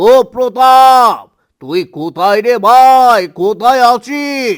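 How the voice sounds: In a cartoonish character voice, a man speaks at an extremely high pitch and a very slow pace, on a very clean recording with a silent background.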